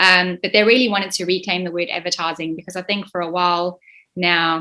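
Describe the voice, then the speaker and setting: With a South African accent, a woman talks at a fairly quick pace in a medium pitch and a bright, sharp tone. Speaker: state manager of an industry body. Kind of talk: online info session presentation. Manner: hesitant, many fillers.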